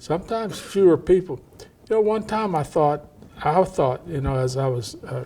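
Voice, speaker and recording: Amid noticeable background noise, a man with an American accent talks at a moderate pace. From East Texas, Cajun family with Louisiana ties. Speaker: historian. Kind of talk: interview. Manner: halting.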